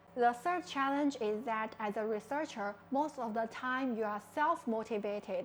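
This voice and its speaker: A woman speaks at a moderate pace. Her pitch is high, with ordinary pitch variation. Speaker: startup founder. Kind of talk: personal talk. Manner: hesitant, many fillers.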